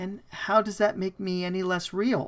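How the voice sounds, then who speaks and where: The voice is a put-on character voice. Its pitch sits in the middle range, and the pace is moderate. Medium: read story. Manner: calm, measured, teasing.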